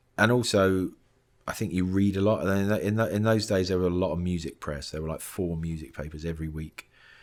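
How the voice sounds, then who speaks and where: In a very clean recording with a silent background, a man speaks with a southern English accent. His very deep, low voice moves at a very fast pace with ordinary pitch variation. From England, Luton. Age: 50s. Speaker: film composer. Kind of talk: interview. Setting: composer's studio. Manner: halting, many fillers and restarts.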